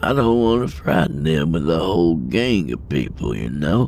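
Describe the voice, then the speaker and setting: A man performs a put-on character voice. Clear background noise runs beneath him. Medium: audio drama. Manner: folksy, earnest, says man.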